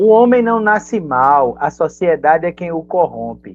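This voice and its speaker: A woman speaks with a very deep, low pitch and very wide pitch swings. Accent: northeastern Brazilian. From Northeast Brazil. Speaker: actor and journalist, web video creator. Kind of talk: casual interview chat.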